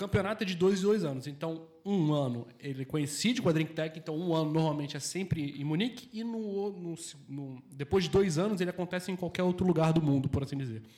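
A man's fairly high voice at a fairly quick pace with hardly any pauses, ordinary pitch variation and noticeable background noise. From Brazil, Rio de Janeiro. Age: 30s. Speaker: beer sommelier. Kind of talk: casual chat. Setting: bar.

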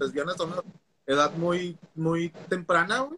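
This is a man speaking at a high pitch. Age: 30s. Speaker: teacher. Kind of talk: casual chat.

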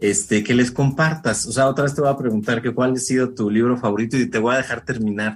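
At a very fast pace with hardly any pauses, a man of medium pitch speaks with very even loudness and fairly even intonation. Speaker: radio host. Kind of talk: radio interview.

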